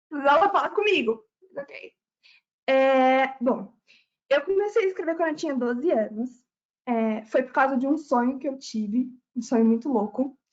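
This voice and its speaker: With lively intonation and long, frequent pauses, a woman talks at a moderate pace in a high pitch. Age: 20s. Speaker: author. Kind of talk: live webinar talk.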